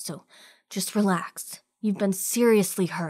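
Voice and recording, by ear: The background stays quiet. Text is read aloud in a natural voice.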